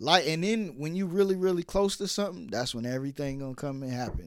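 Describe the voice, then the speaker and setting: A man with an American accent talks in a plain, everyday voice at a fairly quick pace. His pitch is fairly high, his intonation lively, and the recording very clean with a silent background. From New York (Brooklyn). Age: 30s. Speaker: podcast host. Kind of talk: casual chat.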